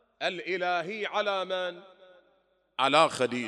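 A man's raised, projected voice, high-pitched with a bright, sharp tone, at a very slow pace and with lively intonation. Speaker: Shia cleric. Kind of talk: sermon. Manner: rhetorical questions to audience.

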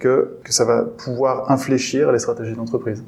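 Fairly slow speech from a man, noticeable background noise underneath. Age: 30s. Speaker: eco-union co-founder and HR manager. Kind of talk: interview.

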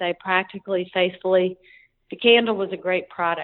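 A woman with an ordinary speaking voice talks at a fairly quick pace with fairly even intonation. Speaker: priest and nonprofit founder. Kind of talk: casual interview.

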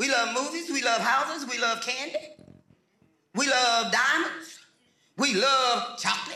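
A man's raised, projected voice at an extremely high pitch, fairly slow pace and long, frequent pauses. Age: 70s. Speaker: pastor. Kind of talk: sermon. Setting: church with congregation. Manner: animated.

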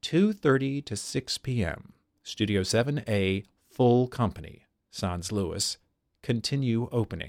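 A man's unremarkable speaking voice, medium-pitched and fairly slow, with lively intonation and a dry, close sound with no echo in a very clean recording over a silent background. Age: 40s. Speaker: stage actor. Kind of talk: reading aloud.

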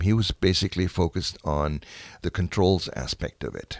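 Recorded very clean with a silent background and a dry, close sound with no echo, a man with a German accent speaks in a very deep, low pitch. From Germany (Dessau). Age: 80s+. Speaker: museum docent, war childhood witness. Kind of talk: personal testimony interview. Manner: halting, many fillers.

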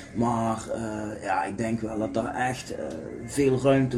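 At a very slow pace and with fairly even intonation, a man talks amid noticeable background noise and audible room echo. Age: 40s. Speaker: podcast co-host, football fan. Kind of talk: casual chat.

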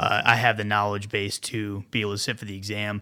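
A very fast, fairly low-pitched male voice with a bright, sharp tone on a very clean recording with a silent background. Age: 30s. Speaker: clinical pharmacist. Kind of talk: casual chat.

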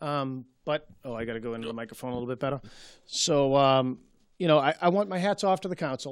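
With a Boston accent, the speaker goes at a very fast pace with ordinary pitch variation on a very clean recording with a silent background. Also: man, fairly high pitch for a man. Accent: Boston-area. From Malden, Massachusetts. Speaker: city councilor. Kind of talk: local TV interview. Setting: TV studio.

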